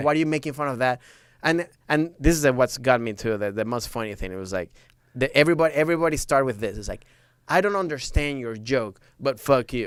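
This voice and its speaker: Talking at a very fast pace with lively intonation, a man with a Venezuelan accent and a medium pitch comes through on a very clean recording with a silent background. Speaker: stand-up comedian. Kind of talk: podcast interview answer. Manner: casual, animated.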